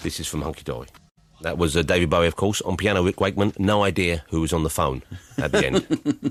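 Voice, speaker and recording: On a very clean, dry, close recording with a silent background and no echo, a man talks very fast in a very deep, low voice with vocal fry and ordinary pitch variation. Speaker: radio presenter. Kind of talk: radio show hosting. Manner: jokey, playful.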